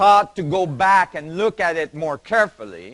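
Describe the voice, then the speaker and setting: A man speaks with a non-native accent. His voice is high in pitch. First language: not English. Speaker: physicist, conference speaker. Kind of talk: lecture. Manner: halting, with fillers.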